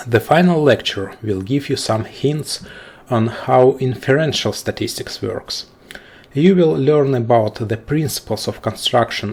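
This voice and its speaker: A man speaks with a non-native accent at a fairly slow pace. His intonation is lively. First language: not English. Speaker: statistics lecturer. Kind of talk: lecture. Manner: formal.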